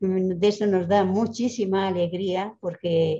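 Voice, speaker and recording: A woman's dark, mellow, somewhat breathy voice over light background noise. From Spain. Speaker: school director, nun. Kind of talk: formal greeting. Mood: warm, grateful. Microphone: video call.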